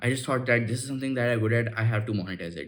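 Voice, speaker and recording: The intonation stays fairly even. Some room echo can be heard. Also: man. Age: 19. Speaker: YouTuber giving life advice. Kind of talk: casual vlog monologue. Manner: halting, self-correcting; filler-heavy speech with many 'like'.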